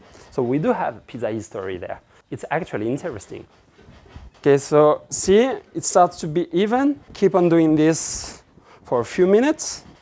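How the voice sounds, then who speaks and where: A man speaks with a French accent at a moderate pace. His pitch is high for a man, with a dark, mellow tone and very wide pitch swings. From France. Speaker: pizza instructor. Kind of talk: cooking tutorial. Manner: casual and relaxed.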